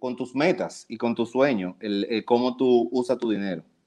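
A man speaks at medium pitch. The background is quiet. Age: 30s. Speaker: publicist and events agency founder. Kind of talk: casual interview.

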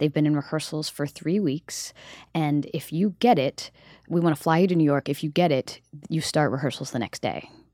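Dark and mellow in tone, the voice carries an American accent at a moderate pace with ordinary pitch variation, recorded very clean with a silent background and a dry, close sound with no echo. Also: woman, very deep, low pitch for a woman. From US South, South Carolina. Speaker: Broadway actress. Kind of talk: casual interview chat.

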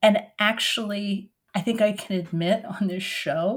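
Somewhat breathy, a woman talks at a fairly slow pace with an American accent. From Oregon. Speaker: author and retired professor. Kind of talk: interview.

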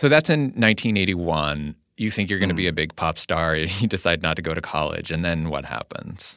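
A man's very deep, low voice carries a bright, sharp tone and ordinary pitch variation at a moderate pace. The recording is very clean and the background silent. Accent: Californian. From US West Coast, Whittier, California. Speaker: podcast host. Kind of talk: scripted narration.

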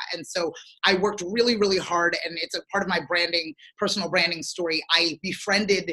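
A woman with a plain, everyday voice speaks fairly quickly at a fairly low pitch with fairly even intonation. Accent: American. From southern New Jersey. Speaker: marketing entrepreneur and talk show host. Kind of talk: casual interview.

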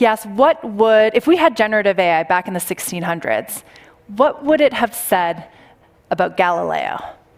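A woman's fairly high voice at a moderate pace, with very wide pitch swings. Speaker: panel moderator, tech journalist. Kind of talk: panel discussion. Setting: stage with audience.

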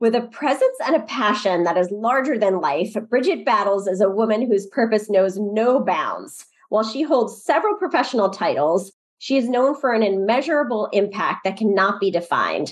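Using a normal speaking voice, a woman speaks at a moderate pace and fairly high pitch with lively intonation and very even loudness. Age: 50s. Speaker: podcast host. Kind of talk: casual interview.

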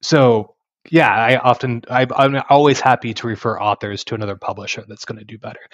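A plain, everyday voice with an American accent moves at a fairly quick pace, showing big swings in loudness but fairly even intonation. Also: man, medium pitch for a man. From Texas Panhandle. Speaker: university press acquisitions editor. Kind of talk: interview conversation.

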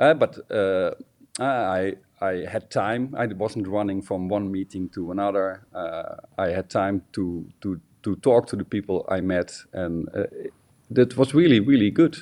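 In a Dutch accent, a man speaks at a fairly slow pace and fairly low pitch, his tone dark and mellow with ordinary pitch variation. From Netherlands. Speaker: designer. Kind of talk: interview. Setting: phone or video call from home. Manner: halting, many filler sounds.

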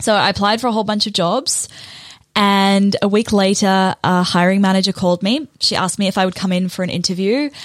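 A woman with a New Zealand accent at a fairly quick pace. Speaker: podcast host, launch strategist. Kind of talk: solo podcast monologue, personal story.

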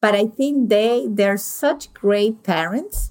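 A woman speaks with a Venezuelan accent. Her pitch sits in the medium range. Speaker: podcast host. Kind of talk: interview conversation. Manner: animated.

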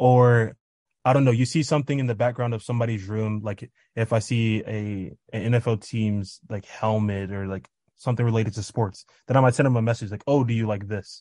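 In an American accent, a man with an ordinary speaking voice talks at a fairly quick pace and medium pitch, with fairly even intonation against a quiet background. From Kansas City, US Midwest. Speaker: college student. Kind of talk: interview.

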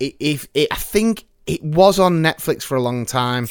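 His pitch is fairly high for a man. The intonation is lively. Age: 30s. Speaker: podcast host. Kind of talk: casual chat. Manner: animated.

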